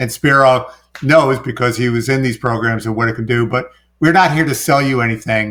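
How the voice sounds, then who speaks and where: Talking at a fairly quick pace, a man with a New York accent keeps a medium pitch and fairly even intonation. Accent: New York accent, toned down. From New York City. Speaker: business coach and former contractor. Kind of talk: podcast interview.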